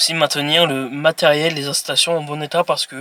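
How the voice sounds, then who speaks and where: A man's fairly high voice, flat and monotone, at a fairly quick pace, with a dry, close sound and no echo. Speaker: YouTuber presenting jobs. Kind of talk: informational presentation read from notes. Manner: halting, with hesitations and self-corrections.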